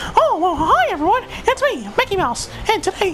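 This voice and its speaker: A put-on character voice at an extremely high pitch and a moderate pace. Clear background noise runs underneath. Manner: cheerful, chipper.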